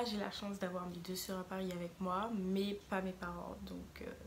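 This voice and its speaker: A woman's medium-pitched, monotone voice at a fairly slow pace, with audible room echo. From Martinique. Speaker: vlogger, student. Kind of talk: casual vlog talk.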